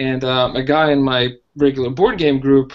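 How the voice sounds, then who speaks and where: A man with a Russian accent talks at a fairly slow pace in a fairly high pitch. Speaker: hotel manager learning web development. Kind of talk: casual podcast interview. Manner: hesitant, many fillers.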